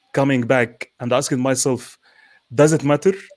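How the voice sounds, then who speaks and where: At a moderate pace, a man speaks at a medium pitch with a non-native accent and fairly even intonation. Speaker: panel co-host. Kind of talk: live panel discussion. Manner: halting, repeats words.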